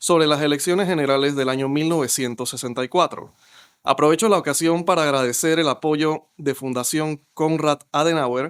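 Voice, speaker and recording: Recorded very cleanly against a silent background, the man talks at a moderate pace and keeps his intonation fairly even. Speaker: podcast moderator. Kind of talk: podcast host introduction and interview questions.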